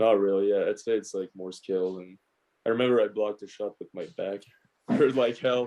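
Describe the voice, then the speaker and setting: In a Quebec accent, a man speaks at a fairly low pitch and a moderate pace. His intonation is fairly even. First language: French. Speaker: professional hockey player. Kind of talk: casual interview chat. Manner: halting, with fillers and repeats.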